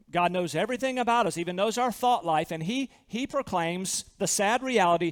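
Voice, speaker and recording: Recorded very cleanly against a silent background, a man with an American accent speaks at a fairly quick pace with lively intonation. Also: hardly any pauses. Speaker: pastor. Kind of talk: sermon. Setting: church.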